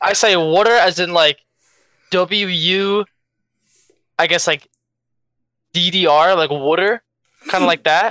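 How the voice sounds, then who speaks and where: The speaker has a strong Philadelphia accent. The pace is fairly slow. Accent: pronounced Philadelphia. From Philadelphia, US. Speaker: podcast guest. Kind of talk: casual chat. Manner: forceful, punchy.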